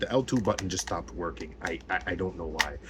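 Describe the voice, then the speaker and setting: A man speaks with lively intonation. He is mumbling. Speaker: gaming YouTuber. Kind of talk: casual vlog rant. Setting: home office at desk. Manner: halting, repetitive fillers.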